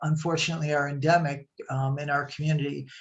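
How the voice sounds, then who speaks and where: Somewhat breathy, a woman's voice with an American accent moves along at a moderate speed. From Chicago area, US Midwest. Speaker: nonprofit executive director, presenter. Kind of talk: webinar presentation. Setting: video call. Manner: hesitant, many fillers.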